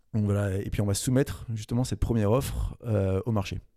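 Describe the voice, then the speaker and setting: A man talks at a fairly quick pace in a fairly low pitch, with a dark, mellow tone. His intonation stays fairly even, and the recording is very clean with a silent background. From Paris region, France. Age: 20s. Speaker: entrepreneur. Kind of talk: interview. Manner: halting, many repetitions and fillers.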